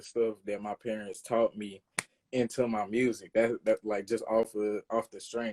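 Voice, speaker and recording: The recording is dry and close with no echo, carrying a man's voice with a Louisiana accent. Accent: Louisiana country. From Louisiana, US South. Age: 20s. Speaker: rapper and producer. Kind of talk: interview. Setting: live stream interview. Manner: casual, halting with fillers.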